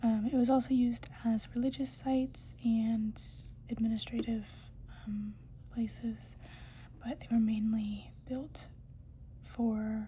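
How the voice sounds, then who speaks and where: Soft-spoken and very slow, the speaker leaves long, frequent pauses. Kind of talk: ASMR educational talk.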